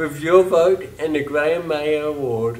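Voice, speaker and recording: There is noticeable background noise behind a man whose voice sits fairly high. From New Zealand. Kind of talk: campaign pitch to camera. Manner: upbeat.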